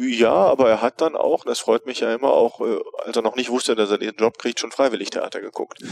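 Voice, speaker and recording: A man talks at a fairly quick pace with a dry, close sound with no echo, amid noticeable background noise. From Rhineland, Germany (Neuss). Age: 40s. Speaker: theatre director. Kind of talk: interview. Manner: relaxed. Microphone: cheap headset, slightly overdriven recording.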